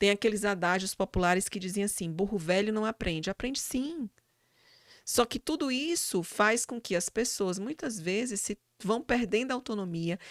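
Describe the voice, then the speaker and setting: A woman talks at a moderate pace and a medium pitch, with lively intonation. The sound is dry and close with no echo, on a very clean recording with a silent background. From Brazil, Fortaleza (Ceará, Northeast). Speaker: psychologist and university professor. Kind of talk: interview conversation. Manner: hesitant fillers, repetitions.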